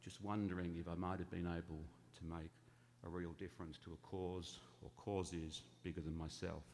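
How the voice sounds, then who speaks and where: With audible room echo, a man talks at a moderate pace in a very deep, low pitch with fairly even intonation. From England. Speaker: charity founder. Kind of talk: talk to church congregation. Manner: conversational.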